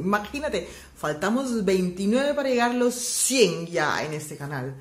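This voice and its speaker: Someone with an Aruban accent speaks at a fairly slow pace with very wide pitch swings. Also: woman. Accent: Aruban, non-native Spanish. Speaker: language teacher vlogger. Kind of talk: casual language lesson to camera.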